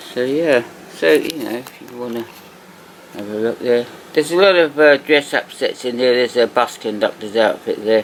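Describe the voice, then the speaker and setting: A man with an English accent speaks at a moderate pace in a relaxed tone, medium in pitch with ordinary variation. His loudness swings widely, and noticeable background noise is present. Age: 60s. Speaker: toy collector video host. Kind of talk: casual show-and-tell commentary. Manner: relaxed, hesitant with fillers.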